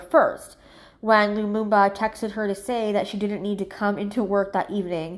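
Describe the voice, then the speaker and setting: Against a quiet background, a woman with an ordinary speaking voice talks at a fairly quick pace and a medium pitch. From Ontario, Canada. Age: 30s. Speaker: psychic medium. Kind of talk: casual true crime reading to camera.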